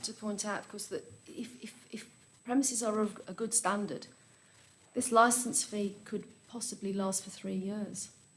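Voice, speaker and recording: Fairly high-pitched, a woman speaks with fairly even intonation in a room with audible echo. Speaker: council licensing officer. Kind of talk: council committee debate. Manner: loud; halting, repeats words.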